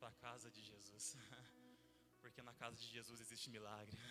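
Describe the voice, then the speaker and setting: A man is talking. Music plays in the background. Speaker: pastor. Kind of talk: sermon. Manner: fast.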